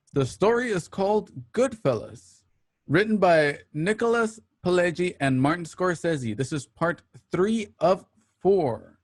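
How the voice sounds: This man has a high voice. His intonation is lively. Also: fairly slow pace.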